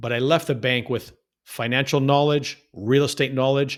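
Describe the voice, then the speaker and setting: A man with a Canadian accent and a normal speaking voice talks at medium pitch and a moderate pace with ordinary pitch variation, on a very clean recording with a silent background. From Canada, Toronto. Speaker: real estate investor. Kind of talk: interview storytelling. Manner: repetitive false starts.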